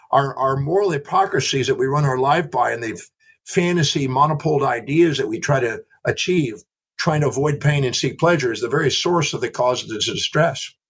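A man speaks at a fairly quick pace in a somewhat breathy voice with a fairly high pitch. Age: 60s. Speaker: human behavior expert and author. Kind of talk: interview conversation. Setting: remote call from a ship.

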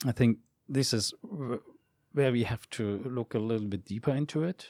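A man with a German accent speaks at a medium pitch in a dark, mellow tone, at a fairly slow pace with ordinary pitch variation and long, frequent pauses. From Germany. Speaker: esports executive. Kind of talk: interview. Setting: studio. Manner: halting.

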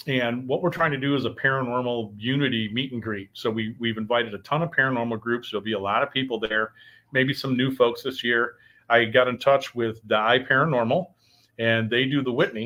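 At a fairly quick pace, a man with a Midwestern US accent talks at a medium pitch with fairly even intonation. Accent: US Midwest. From Michigan. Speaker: paranormal show host. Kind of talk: casual livestream chat. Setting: live video stream with soundboard. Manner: loud.

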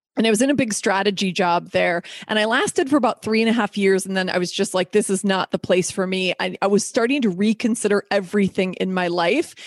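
With an animated tone and ordinary pitch variation, a woman speaks at a fairly quick pace in a dry, close sound with no echo. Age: 50s. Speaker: podcast host. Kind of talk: casual chat; scripted narration.

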